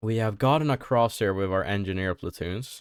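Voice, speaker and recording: Recorded very cleanly against a silent background, a man with a very deep, low pitch and ordinary pitch variation talks at a moderate pace in a dry, close sound with no echo. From Sweden. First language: Swedish. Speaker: gaming youtuber. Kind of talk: gameplay commentary. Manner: hesitant, many fillers.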